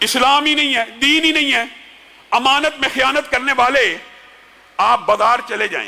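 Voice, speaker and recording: Amid noticeable background noise, a man projects a raised voice at an extremely high pitch with fairly even intonation. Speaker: Islamic preacher giving a Friday sermon. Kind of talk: Friday sermon (khutba) delivered in Urdu.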